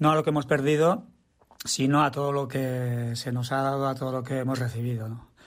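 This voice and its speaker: A man at a moderate pace and medium pitch. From Basque Country, Tolosa. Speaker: musician. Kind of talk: recorded statement about a song.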